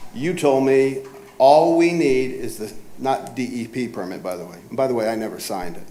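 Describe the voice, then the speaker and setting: A man speaks at a moderate pace and a medium pitch, with noticeable background noise and audible room echo. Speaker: property owner. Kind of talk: cross-examination at a code hearing. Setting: city government hearing room. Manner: speaks softly.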